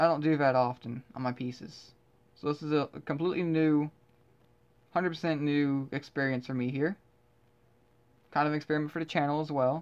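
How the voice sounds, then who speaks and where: With a Southern US accent, this speaker talks at a fairly quick pace, broken by long, frequent pauses, over a quiet background. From US South. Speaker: artist and video creator. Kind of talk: casual commentary while painting. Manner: rambling, hesitant with fillers.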